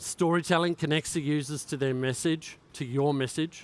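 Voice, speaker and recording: This man has an Australian accent and a fairly high pitch, with ordinary pitch variation. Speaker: cybersecurity conference speaker. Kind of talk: keynote talk.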